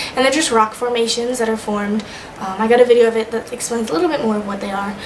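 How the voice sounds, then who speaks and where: A woman with an American accent speaks in a fairly high pitch. Noticeable background noise and audible room echo are present. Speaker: vlogger, study-abroad student. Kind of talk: casual video diary. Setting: recording to camera. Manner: fast; animated.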